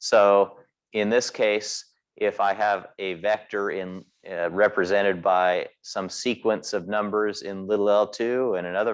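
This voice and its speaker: A man's fairly low pitch and fairly even intonation, over a quiet background. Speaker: professor. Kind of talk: lecture. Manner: fast.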